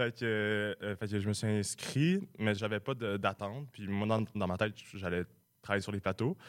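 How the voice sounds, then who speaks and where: In an ordinary speaking voice, a man talks at a moderate pace and a fairly low pitch with fairly even intonation, the sound dry and close with no echo on a very clean recording with a silent background. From Quebec, Sherbrooke. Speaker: comedy writer, recent graduate. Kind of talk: radio interview. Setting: radio studio.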